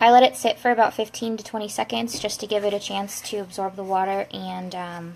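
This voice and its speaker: Big swings in loudness mark this woman's medium-pitched voice. She talks at a fairly quick pace. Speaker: crafter. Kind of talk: live-stream tutorial. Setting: live video stream. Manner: fast.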